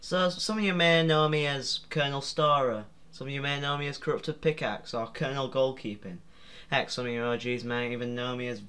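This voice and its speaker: With a British accent, a man talks at a fairly quick pace. His pitch is fairly high and his tone bright and sharp. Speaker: YouTuber. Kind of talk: casual vlog commentary. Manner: halting.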